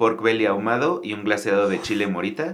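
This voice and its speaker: Audible room echo surrounds a man in a Mexico City accent, talking at a moderate pace with lively intonation. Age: 30s. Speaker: restaurant entrepreneur. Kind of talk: casual interview.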